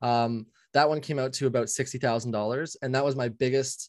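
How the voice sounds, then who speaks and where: A man with an unremarkable speaking voice talks at a moderate pace. His pitch is medium and his intonation fairly even. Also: dry, close sound with no echo. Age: 20s. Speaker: general contractor. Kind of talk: coaching session.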